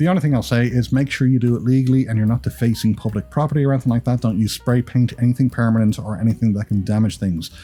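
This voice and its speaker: Speaking at a very fast pace with hardly any pauses, a man has a medium-pitched, somewhat breathy voice with a dark, mellow, upbeat tone. His pitch varies in an ordinary way, and the recording is very clean with a silent background. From Ireland. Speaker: YouTube creator. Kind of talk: vlog tips monologue. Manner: casual, upbeat.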